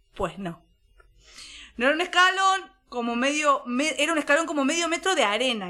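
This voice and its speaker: A woman raises and projects her voice. She talks at a fairly quick pace. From La Pampa, Argentina (near Córdoba border). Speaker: podcast co-host. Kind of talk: casual chat.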